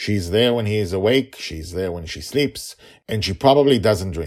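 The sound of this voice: A man's fairly low voice with a slightly mellow tone and ordinary pitch variation.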